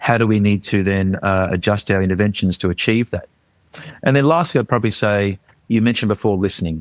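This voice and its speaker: A man with an Australian accent talks very fast in a fairly low voice, his loudness very even and his pitch varying in an ordinary way. The recording is dry and close, with no echo. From Australia, Queensland. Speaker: charity leader. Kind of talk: interview. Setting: remote call. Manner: hesitant, many fillers.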